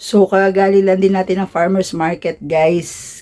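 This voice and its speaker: Dark and mellow in tone, a woman's fairly low voice moves at a moderate pace. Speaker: vlogger. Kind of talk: casual vlog narration. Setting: family gathering at home.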